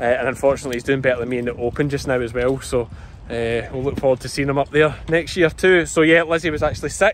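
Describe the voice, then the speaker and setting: A man with a strong Scottish accent speaks at a very fast pace, with a fairly high pitch and ordinary pitch variation, in a dry sound with no echo over light background noise. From Scotland, Ayrshire; Scotland. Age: 30s. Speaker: sheep farmer and vlogger; vlogger. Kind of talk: casual vlog commentary. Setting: outdoors at agricultural show. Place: open country. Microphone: phone near.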